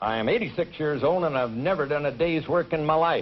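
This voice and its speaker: A man speaks in an ordinary speaking voice at a moderate pace, with ordinary pitch variation. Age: 50s. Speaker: college track coach. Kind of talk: game show interview.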